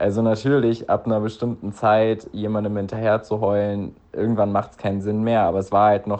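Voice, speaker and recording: A man speaks at a moderate pace with hardly any pauses. His pitch is fairly low and his intonation flat and monotone. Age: 20s. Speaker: listener sending a voice message. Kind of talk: recorded voice message telling a personal story.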